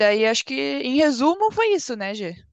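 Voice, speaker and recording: The recording is dry and close with no echo. A woman speaks at a fairly slow pace. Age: 20s. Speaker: PhD student, chemist. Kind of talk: casual interview.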